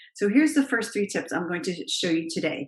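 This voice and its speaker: Here a woman talks with lively intonation at a medium pitch. The background is quiet. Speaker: confidence coach, public speaking coach. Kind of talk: tutorial.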